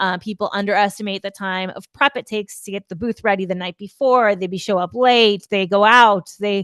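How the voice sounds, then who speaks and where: Against a quiet background with a dry, close sound and no echo, a woman in an ordinary speaking voice speaks at a moderate pace and medium pitch, her intonation fairly even. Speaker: PR consultant webinar host. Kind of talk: webinar presentation. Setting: online webinar.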